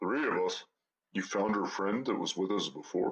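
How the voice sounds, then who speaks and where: Using a put-on character voice, a man speaks at a fairly low pitch. He keeps a moderate pace and very even loudness. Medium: audio drama.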